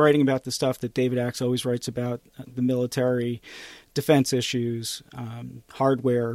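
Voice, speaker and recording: Monotone and flat, a man at medium pitch talks at a moderate pace. The sound is dry and close with no echo. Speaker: podcast co-host and journalist. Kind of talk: casual chat.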